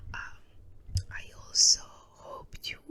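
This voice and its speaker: The speaker whispers. The accent is Spanish. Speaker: ASMR creator. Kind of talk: casual chat. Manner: soft-spoken; halting.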